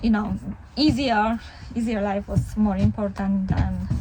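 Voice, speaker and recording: A woman with a Polish accent at a moderate pace amid noticeable background noise. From Poland. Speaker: family vlogger. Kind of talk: casual vlog talk to camera. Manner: conversational, with fillers.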